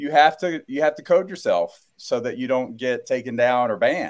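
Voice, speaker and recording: A man with an American accent, fairly high pitch, lively intonation and moderate pace, on a very clean recording with a silent background. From US South, South Carolina. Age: 40s. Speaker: gastroenterologist. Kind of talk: interview. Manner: halting.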